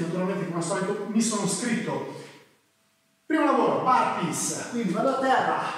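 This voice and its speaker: Strong room echo surrounds a man speaking at a moderate pace. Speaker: fitness trainer. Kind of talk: tutorial. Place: gym.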